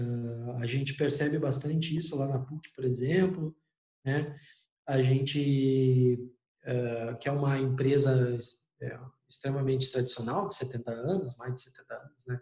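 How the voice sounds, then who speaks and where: This man talks fairly slowly in a fairly high, somewhat breathy voice. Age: 40s. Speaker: university lecturer. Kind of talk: online lecture. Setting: remote class.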